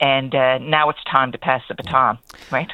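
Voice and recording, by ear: The speaker is a woman with an extremely low pitch. Her intonation stays fairly even. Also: moderate pace.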